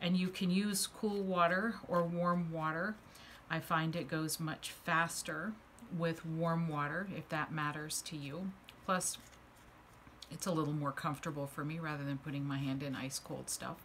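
A woman speaks in a normal speaking voice, pitched fairly low, at a moderate pace. Her intonation stays fairly even over light background noise. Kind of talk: tutorial. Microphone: phone near.

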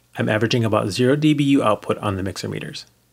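Vocal fry marks a man's voice as he talks at a very fast pace with lively intonation. The background is quiet. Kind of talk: tutorial narration. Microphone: studio mic.

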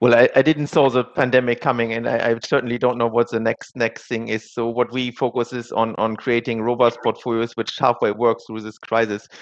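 In a German accent, a man talks at a fairly quick pace with hardly any pauses, his intonation monotone and flat against a quiet background. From Germany. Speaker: asset manager; panellist. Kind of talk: panel discussion. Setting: virtual conference. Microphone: headset.

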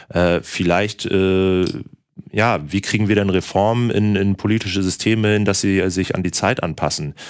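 Fairly low-pitched male voice at a moderate pace, fairly even in intonation, over a quiet background. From northern Germany (Bremen); Germany. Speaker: sales manager hosting a livestream. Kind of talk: casual chat with stream audience. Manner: chatty, many filler sounds. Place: studio.

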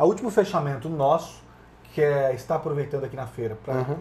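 The speaker is a man. Light background noise sits behind him. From Brazil, Paraná. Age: 40s. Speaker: bank executive. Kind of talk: interview. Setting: studio at agricultural fair. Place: studio. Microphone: lapel.

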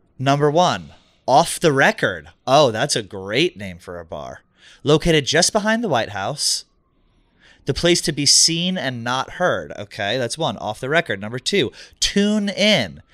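Against a quiet background, a man with vocal fry speaks fairly slowly at a fairly high pitch, with very wide pitch swings, big swings in loudness and a dry sound with no echo. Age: 30s. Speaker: comedy podcast co-host. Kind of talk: casual chat. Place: studio. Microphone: studio mic.

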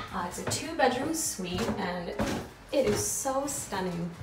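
A woman talks while clear music plays behind her. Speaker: travel vlogger. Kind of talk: casual vlog chat. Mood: enthusiastic. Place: home room. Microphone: phone near.

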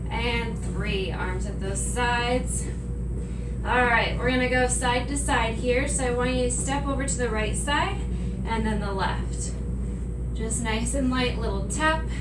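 A woman talks very slowly, with long, frequent pauses, as music plays in the background. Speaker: fitness instructor. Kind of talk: workout instruction. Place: office. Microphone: camera far.

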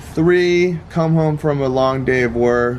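A man talks while light background noise runs underneath. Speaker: vlogger. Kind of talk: casual vlog chat. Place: garden. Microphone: phone near.

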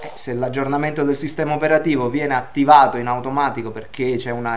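This man speaks very fast. His intonation is fairly even. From Naples, southern Italy; southern Italy. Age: 50s. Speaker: database administrator giving a technical seminar; speaker. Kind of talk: technical lecture. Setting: university seminar room, livestreamed. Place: classroom.

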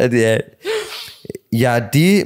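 The man's voice sits at a medium pitch. He talks at a very slow pace. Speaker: YouTuber. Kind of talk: casual podcast interview.

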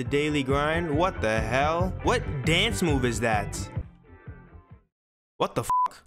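A man's fairly slow, lively-toned speech over clear background music. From New Jersey. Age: young. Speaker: gaming streamer. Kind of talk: gaming commentary. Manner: casual, energetic.

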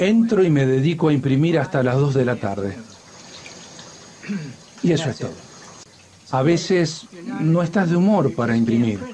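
A man with a Rioplatense accent at a moderate pace, with very wide pitch swings, long, frequent pauses and light background noise. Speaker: voice actor. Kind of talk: documentary dubbing, voicing an interviewed photographer. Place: studio.

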